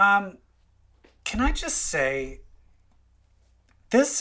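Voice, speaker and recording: On a very clean recording with a silent background, a man with a Minnesotan accent speaks in a high, bright, sharp voice with very wide pitch swings. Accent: Minnesota. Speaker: podcast host. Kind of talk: casual chat.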